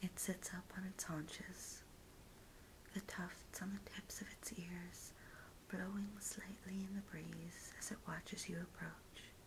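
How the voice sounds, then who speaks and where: Whispering in an American accent at a fairly slow pace. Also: woman. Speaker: ASMR artist. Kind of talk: guided visualization. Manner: soft-spoken.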